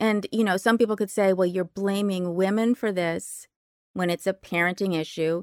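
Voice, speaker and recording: A woman with a normal speaking voice, medium pitch, moderate pace and fairly even intonation, in a dry, close sound with no echo, on a very clean recording against a silent background. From US West Coast, Berkeley California. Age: 50s. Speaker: writer. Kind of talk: casual chat.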